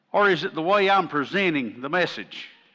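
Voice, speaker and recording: A man with an Appalachian accent, bright and sharp in tone, fairly slow in pace, with lively intonation. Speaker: pastor. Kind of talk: sermon. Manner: animated.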